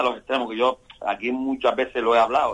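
This man has an unremarkable speaking voice, medium in pitch and delivered at a fairly quick pace. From Canary Islands. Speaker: sports pundit, former footballer. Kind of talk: radio panel discussion.

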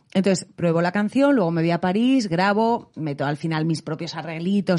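A woman with a normal speaking voice talks fairly quickly at a fairly low pitch. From Spain. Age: 30s. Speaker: singer and voice actress. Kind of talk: casual chat.

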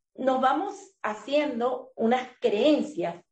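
A woman speaks very slowly with a high pitch and a dark, mellow tone. Her intonation is lively. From Venezuela. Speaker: life coach. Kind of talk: interview.

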